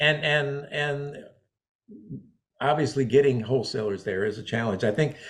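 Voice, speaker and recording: Somewhat breathy and fairly high in pitch, a man speaks at a moderate pace with ordinary pitch variation and long, frequent pauses. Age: 70s. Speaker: interviewer in the floral wholesale trade. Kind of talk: interview. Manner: halting.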